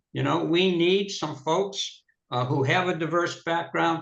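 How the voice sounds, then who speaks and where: A man's voice sits fairly high with vocal fry and ordinary pitch variation. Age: 70s. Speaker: city council candidate. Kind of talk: political debate. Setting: video call.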